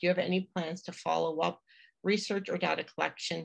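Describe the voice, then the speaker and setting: A woman with a fairly low pitch speaks at a fairly quick pace with vocal fry against a quiet background. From Atlantic Canada. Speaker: museum association executive director. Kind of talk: webinar hosting. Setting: video call. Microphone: video call.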